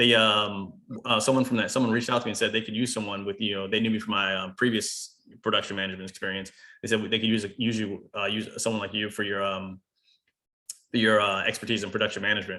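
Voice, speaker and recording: A man with an American accent talks at a very fast pace. His fairly low voice stays monotone and flat. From US, Baltimore. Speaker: manufacturing business owner. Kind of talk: webinar talk. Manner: halting.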